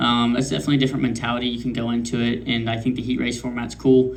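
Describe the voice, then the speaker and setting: A man's medium-pitched voice, very fast and flat in intonation, with audible room echo. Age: 20s. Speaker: race car driver. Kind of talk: press conference. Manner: hesitant, many fillers.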